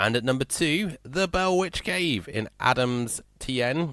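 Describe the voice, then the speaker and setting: A man with a Yorkshire accent speaks with lively intonation, in a very clean recording with a silent background and a dry, close sound with no echo. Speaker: radio host. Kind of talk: radio show chat. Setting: radio studio. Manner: slurred speech; casual, chatty.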